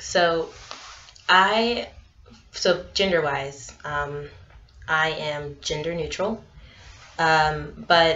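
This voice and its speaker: Audible room echo surrounds a woman speaking at a fairly low pitch with ordinary pitch variation. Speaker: vlogger. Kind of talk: casual vlog monologue. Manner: hesitant, filler-heavy.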